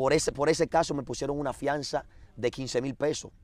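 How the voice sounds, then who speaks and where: A man at a medium pitch and moderate pace, with ordinary pitch variation, on a very clean recording with a silent background. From Dominican Republic, Azua. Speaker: former gang leader turned street preacher. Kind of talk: testimony.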